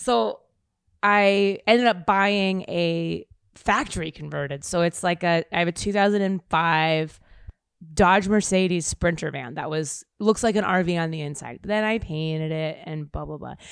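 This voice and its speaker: Her loudness swings widely as this woman speaks at a fairly slow pace with an American accent. She has a plain, everyday voice, fairly low in pitch, with ordinary pitch variation. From US Midwest, Kansas City. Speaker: actor and comedian. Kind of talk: casual chat.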